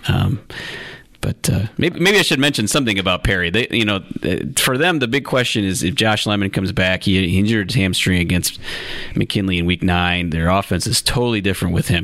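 Noticeable background noise sits behind a man with a fairly low pitch. He talks at a fairly quick pace with very even loudness. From northeast Ohio (Lake County). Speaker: sports journalist co-host. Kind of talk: casual chat. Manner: halting, many fillers.

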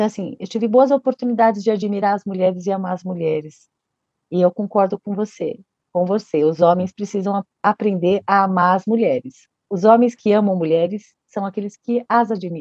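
A woman with a normal speaking voice talks at a medium pitch. Her pace is moderate and her pitch variation is ordinary. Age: 50s. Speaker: children's book author. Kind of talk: interview.

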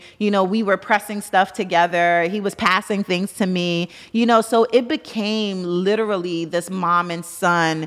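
An unremarkable speaking voice from a woman, medium in pitch, at a moderate pace and with an American accent. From Brooklyn, New York. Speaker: entrepreneur. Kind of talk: interview.

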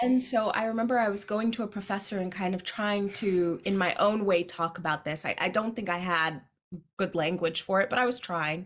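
A woman speaks at a fairly quick pace in an unremarkable speaking voice, with medium pitch, ordinary pitch variation, and a very clean recording with a silent background. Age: 30s. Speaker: poet and podcast host. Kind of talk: casual chat.

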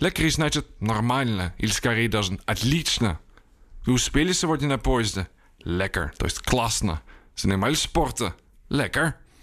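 In a very clean recording with a silent background, a man at a medium pitch makes very wide pitch swings while his loudness stays very even. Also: moderate pace. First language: Dutch (speaking Ukrainian). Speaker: journalist and writer. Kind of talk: language lesson.

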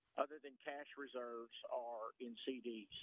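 A man's voice sits at a medium pitch. It stays monotone and flat throughout. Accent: American. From Texas, Houston. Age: 70s. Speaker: retiree, caller. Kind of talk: phone-in call. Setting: phone call.

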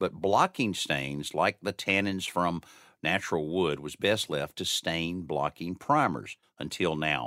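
Recorded very cleanly against a silent background with a dry, close sound and no echo, a man with a very deep, low pitch speaks at a fairly slow pace in an upbeat, bright, sharp tone with ordinary pitch variation. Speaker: radio host. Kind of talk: radio host patter. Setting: studio. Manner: upbeat, chatty, fluent broadcaster cadence with teasers and segment cues.

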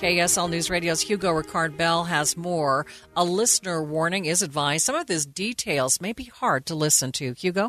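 Hardly pausing, a woman with an unremarkable speaking voice talks at a moderate pace and a fairly low pitch, with ordinary pitch variation. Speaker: radio news anchor. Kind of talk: news reading. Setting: studio. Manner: formal.

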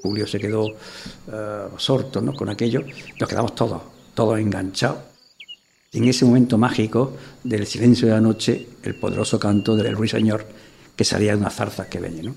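Though his pace is fairly quick, this man leaves long, frequent pauses, his fairly low, somewhat breathy voice showing ordinary pitch variation. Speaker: former mayor and teacher. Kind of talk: interview testimony.

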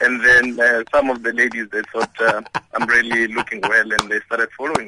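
This man talks fairly quickly at a medium pitch, his intonation fairly even but his loudness swinging widely. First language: Xhosa. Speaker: radio caller. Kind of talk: phone-in. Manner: halting.

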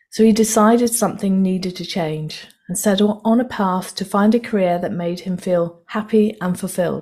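A woman speaks at medium pitch and a moderate pace, with ordinary pitch variation. Her tone is dark, mellow and somewhat breathy, on a very clean recording with a silent background. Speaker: podcast host. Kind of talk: interview.

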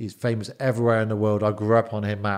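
A man's very fast delivery with an English accent, medium in pitch, on a very clean recording with a silent background. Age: 40s. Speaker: bodyguard and businessman. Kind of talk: interview. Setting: studio.

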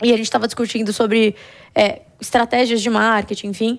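Very fast, flat and monotone speech from a woman with a fairly high voice, on a very clean recording with a silent background. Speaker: company founder and CEO. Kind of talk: interview.

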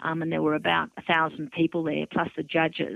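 In an Australian accent, a woman speaks with a fairly low pitch. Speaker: author. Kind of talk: interview. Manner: plain, straightforward talk.

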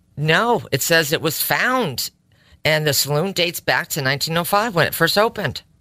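Speaking in a Connecticut accent, a woman uses lively intonation at a moderate pace. Her pitch is fairly low, and the recording is very clean with a silent background. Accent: Connecticut, New England. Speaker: co-host, married to the other host. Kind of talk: casual conversation.

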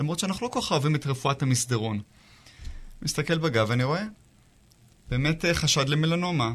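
This man talks at a fairly quick pace with a fairly high pitch, a somewhat breathy sound, lively intonation, very even loudness, and long, frequent pauses. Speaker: dermatologist. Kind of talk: interview.

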